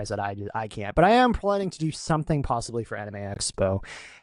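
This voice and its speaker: Here a man speaks with an American accent. His pitch swings very widely. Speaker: podcast host. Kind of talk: casual chat.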